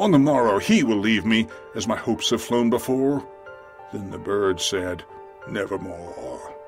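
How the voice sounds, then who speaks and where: Music plays in the background as a man with a medium pitch speaks at a moderate pace with lively intonation. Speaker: voice artist. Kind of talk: dramatic poetry reading. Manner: dramatic.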